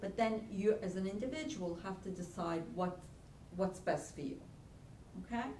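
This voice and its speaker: Amid noticeable background noise and audible room echo, a woman speaks fairly slowly at a medium pitch. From Italy. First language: Italian. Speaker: college career center director. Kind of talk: workshop lecture. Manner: halting.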